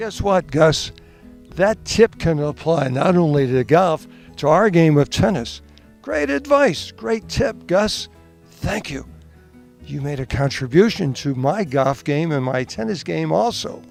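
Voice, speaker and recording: Music plays in the background as a man speaks at a fairly slow pace. His voice is fairly high-pitched with lively intonation. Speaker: tennis professional and broadcaster, interviewer. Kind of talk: interviewer questions.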